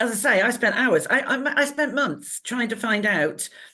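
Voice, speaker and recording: A woman with a high pitch and a bright, sharp tone speaks at a fairly slow pace with lively intonation. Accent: English. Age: 60s. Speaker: talk show co-host. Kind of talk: casual chat. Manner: animated.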